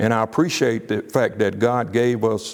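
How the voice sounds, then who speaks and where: Here a man speaks with an Alabama accent at a fairly low pitch. His pace is moderate and his intonation monotone and flat. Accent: Southern US (Alabama). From US South, Birmingham, Alabama. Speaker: business coach. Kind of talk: casual personal story. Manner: halting, many fillers and repeats.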